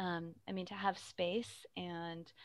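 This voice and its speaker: An American accent in a very clean recording with a silent background. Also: woman. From Arizona, Phoenix area. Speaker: theater director. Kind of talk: interview. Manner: hesitant with fillers.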